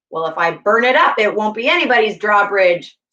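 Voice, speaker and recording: Using a put-on character voice, a woman talks at a fairly quick pace with a rumbling sound and medium pitch. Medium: read story. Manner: mock-ferocious, rumbling.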